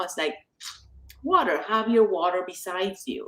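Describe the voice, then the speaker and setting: In an Argentine accent, a woman talks at a moderate pace. Her pitch is medium. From Argentina. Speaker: author. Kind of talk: casual chat.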